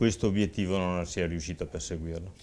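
The intonation of the man's speech stays fairly even. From Verona, northern Italy; moved to Saronno at 20; northern Italy. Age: 60s. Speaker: mayoral candidate; candidate. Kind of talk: political talk show interview. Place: studio. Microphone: lapel.

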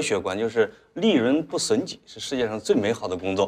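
The speaker talks at a very fast clip, with the pitch swinging very widely up and down. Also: man. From rural China. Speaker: talk show guest. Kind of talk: casual chat. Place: studio.

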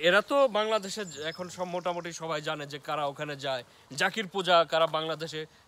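A bright, sharp tone with ordinary pitch variation and a dry sound free of echo. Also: man, high pitch for a man. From Bangladesh. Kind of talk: casual chat. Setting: outdoors. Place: forest. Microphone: phone near.

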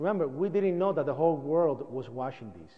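A man speaks with a Spanish accent in an animated tone. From Puerto Rico. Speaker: 9/11 survivor and activist. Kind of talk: public talk.

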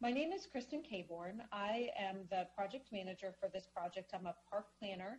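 A woman talks at a moderate pace. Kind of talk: meeting presentation. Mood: friendly, welcoming. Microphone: video call.

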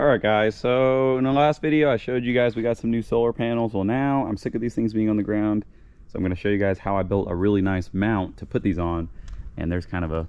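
Very fast speech with ordinary pitch variation in a dry sound with no echo. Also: man, fairly low pitch for a man. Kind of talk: casual tutorial vlog. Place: garden. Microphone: phone near.

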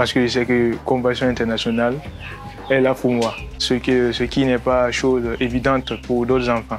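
Faint background music behind a man's medium-pitched, monotone, flat delivery at a fairly slow pace. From Burkina Faso. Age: young. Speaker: sponsored youth. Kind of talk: testimonial interview answer. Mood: warm, grateful, smiling. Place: street. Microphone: lapel.

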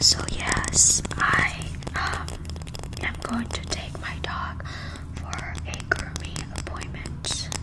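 Whispering and soft-spoken, a woman talks at a very slow pace against loud background noise. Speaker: ASMR creator. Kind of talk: soft casual ASMR chat. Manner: soft close-mic ASMR whisper. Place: home room. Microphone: studio mic.

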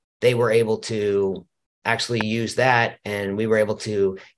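A man speaks with a fairly low pitch. His intonation is monotone and flat. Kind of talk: business explainer talk. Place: office.

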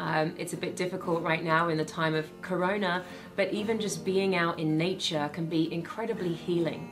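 A woman speaks with a British accent at a moderate pace, her fairly low voice monotone and flat, with clear music in the background. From Britain. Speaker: actress, host, voice over artist, speaker. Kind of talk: inspirational talk. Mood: warm, calm, uplifting. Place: studio.

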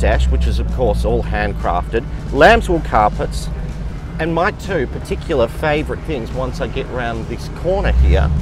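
A man speaks in a dry, echo-free sound with clear music in the background. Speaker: presenter. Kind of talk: car review commentary. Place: car.

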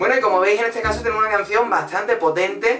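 A man's voice with ordinary pitch variation over clear background music. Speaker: music reaction vlogger. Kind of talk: casual vlog commentary. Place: home room.

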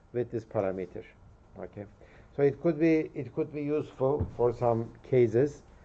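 A man's voice at a moderate pace with fairly even intonation. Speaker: university lecturer. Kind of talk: lecture. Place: hall.

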